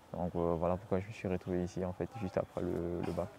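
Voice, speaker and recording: Very deep, low male voice amid noticeable background noise. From Congo-Brazzaville, Nkayi. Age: 20s. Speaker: agronomy student. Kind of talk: interview. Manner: halting, many fillers and repetitions.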